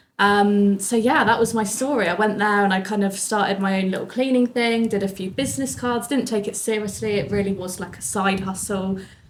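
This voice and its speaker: A woman with a southern English accent at medium pitch, fairly quick and fairly even in intonation, with hardly any pauses, audible room echo and noticeable background noise. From southern England, Bournemouth. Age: 20s. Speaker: business owner. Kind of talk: interview.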